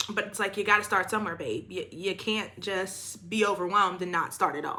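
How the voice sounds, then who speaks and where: A woman's animated, fairly quick delivery at a medium pitch. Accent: American. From Maryland, DMV area (Prince George's County). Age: 20s. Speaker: beauty vlogger. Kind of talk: casual chat while doing makeup. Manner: animated, chatty.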